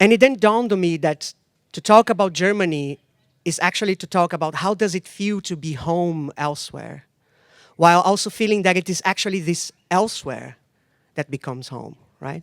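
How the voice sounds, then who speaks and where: In a very clean recording with a silent background, a high-pitched man with a Portuguese accent talks at a fairly quick pace, his pitch varying in an ordinary way while his loudness swings widely. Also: dry, close sound with no echo. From Brazil. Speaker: sound artist and lecturer. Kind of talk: lecture. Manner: halting, with fillers.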